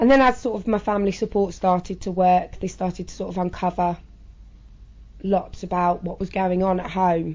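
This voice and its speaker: A woman speaks with a southern English accent at medium pitch. Her intonation is fairly even and her pace moderate. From southern England. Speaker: interviewee sharing personal experience. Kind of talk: interview testimony. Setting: interview in a children's centre room. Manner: halting.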